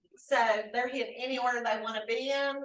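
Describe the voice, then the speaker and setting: Loud and bright with a sharp tone, the voice moves at a fairly quick pace in a flat monotone, with audible room echo. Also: woman. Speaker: county HR staff member. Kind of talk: public meeting report. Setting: county commission meeting room. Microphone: no microphone.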